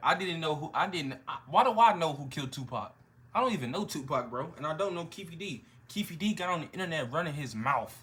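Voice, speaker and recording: At a very fast pace, a man talks in an animated tone with lively intonation and a fairly high pitch. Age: 20s. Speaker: hip-hop reaction youtuber. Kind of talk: casual reaction chat.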